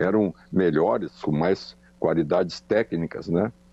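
A man talking at a fairly slow pace. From Rio Grande do Sul, Brazil (Charqueadas). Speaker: former footballer and coach. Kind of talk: interview. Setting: phone call.

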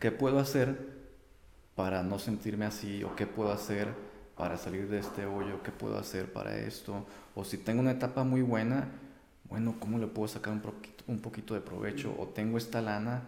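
With noticeable background noise and audible room echo, a man talks at a moderate pace in a fairly low voice with fairly even intonation. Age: 30s. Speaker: traveler, photographer and English teacher. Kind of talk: interview.

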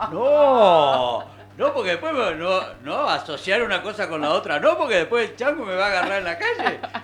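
A man speaks at a moderate pace in a high pitch, his voice making very wide pitch swings. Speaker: local radio host. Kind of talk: casual talk radio.

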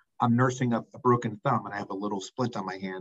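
Recorded with a dry, close sound and no echo, a man talks very fast at a medium pitch. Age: 60s. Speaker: healthcare executive, former dean of students. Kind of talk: casual interview chat.

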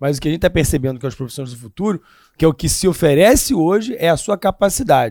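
Recorded very cleanly against a silent background, a man with a fairly high voice talks at a very fast pace with very wide pitch swings. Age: 40s. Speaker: history and current affairs teacher. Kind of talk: casual chat.

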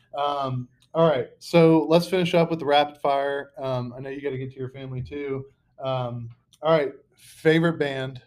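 A man speaks in an ordinary speaking voice at a moderate pace, fairly high in pitch. His intonation stays fairly even while his loudness swings widely. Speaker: podcast host. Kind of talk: casual chat. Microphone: laptop mic.

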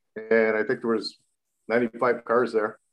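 A man speaks at medium pitch. He has a Canadian accent. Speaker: race car driver. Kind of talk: casual chat.

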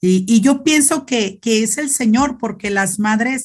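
A woman's somewhat breathy voice with lively intonation at a fairly slow pace. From Mexico, Zacatecas. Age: 40s. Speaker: Franciscan nun. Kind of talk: interview testimony. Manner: halting, repeats words.

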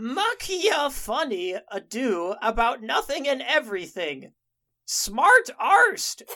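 Here a put-on character voice is heard. The pace is fairly slow. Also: woman, high pitch for a woman.

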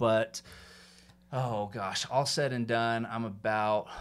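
At a fairly slow pace, a man with an American accent speaks at a medium pitch with fairly even intonation, in a very clean recording with a silent background. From US South, Atlanta, Georgia. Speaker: mortgage lender. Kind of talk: casual interview. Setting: studio, sitting next to host.

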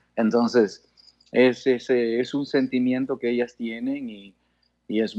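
A man speaks at a very slow pace. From Canada, born in Guayaquil, Ecuador. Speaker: father of a tennis player. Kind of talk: interview. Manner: halting.

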